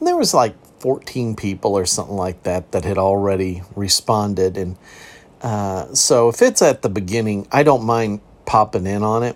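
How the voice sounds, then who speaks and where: At a moderate pace, a man speaks in an unremarkable speaking voice, fairly low in pitch, with ordinary pitch variation. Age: 60s. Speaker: podcast host, counselor-style mental health talk. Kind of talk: casual solo podcast talk. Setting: home recording.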